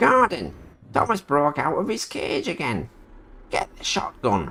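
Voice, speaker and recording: A put-on character voice is used here. It moves neither fast nor slow, at a moderate pace. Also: man, high pitch for a man. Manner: dramatic, cartoonish.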